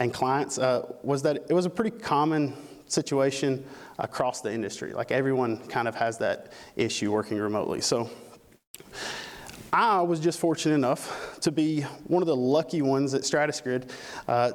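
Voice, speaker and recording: With a Southern US accent, a man talks at a moderate pace and a fairly high pitch. His loudness stays very even, and his pitch varies in an ordinary way. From Alabama. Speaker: conference speaker. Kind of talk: conference talk. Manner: casual, with frequent fillers.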